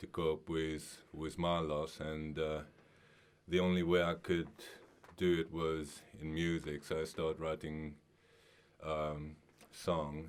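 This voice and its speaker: With a Mauritian accent, a man speaks very slowly in a very deep, low, monotone, flat voice, leaving long, frequent pauses. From Mauritius. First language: Mauritian Creole. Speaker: singer-songwriter. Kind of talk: radio interview. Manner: halting.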